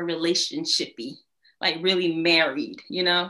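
A woman is speaking. Her tone is bright and sharp. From Atlanta, Georgia. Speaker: lawyer. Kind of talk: casual chat.

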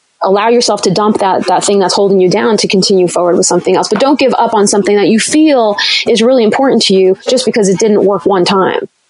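A woman talks at a very fast pace with hardly any pauses, her pitch medium. Her loudness stays very even, and her pitch varies an ordinary amount. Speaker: dietitian. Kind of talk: casual chat. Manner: talkative.

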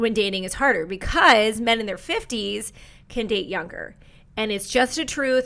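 A woman's fairly high voice with a bright, sharp, animated tone, ordinary pitch variation, and a moderate pace. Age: 40s. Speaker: dating coach and matchmaker. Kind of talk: casual advice monologue.

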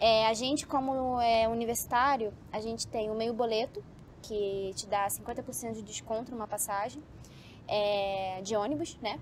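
A woman speaks with a plain, everyday voice. Her pitch is fairly high and her intonation fairly even. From Brazil, Rio de Janeiro. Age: 20s. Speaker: medical student. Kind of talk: casual interview. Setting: outdoors, building rooftop.

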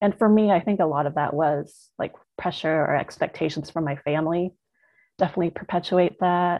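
A woman uses an ordinary speaking voice with an American accent and a fairly low pitch. She talks at a fairly quick pace with ordinary pitch variation. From US, Vietnamese American. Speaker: guest. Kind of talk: casual chat.

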